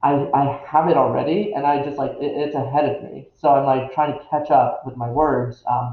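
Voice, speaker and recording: Speaking at a moderate pace, a man with a fairly high, somewhat breathy voice keeps his intonation fairly even. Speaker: occult YouTuber. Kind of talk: casual vlog monologue. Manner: halting, many fillers and restarts.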